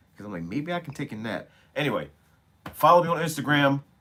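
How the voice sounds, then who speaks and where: A man at medium pitch and a fairly quick pace. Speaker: streamer. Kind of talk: live stream chat with viewers. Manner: casual, profane.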